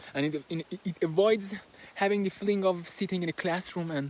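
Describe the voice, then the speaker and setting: The speaker talks at a moderate pace in a Persian accent. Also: man. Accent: Persian accent, noticeable. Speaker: book reviewer. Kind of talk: book summary and analysis. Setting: recording while moving, handheld. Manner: halting, with fillers.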